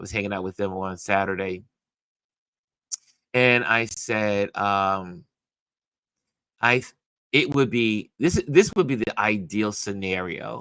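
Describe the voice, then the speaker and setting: A man's fairly low voice with a bright, sharp tone, fairly slow and broken by long, frequent pauses, with big swings in loudness and ordinary pitch variation. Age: 60s. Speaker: livestream host and photographer. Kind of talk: casual livestream chat. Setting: live stream from home. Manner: halting, many fillers. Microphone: slight echo from open windows.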